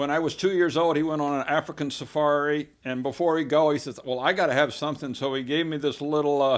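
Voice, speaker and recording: Heard on a very clean recording with a silent background, a man with an American accent uses a plain, everyday voice, fairly high in pitch with fairly even intonation. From US South, Texas (Baytown, near Houston). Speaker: community volunteer, former fisheries worker. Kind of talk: casual interview conversation.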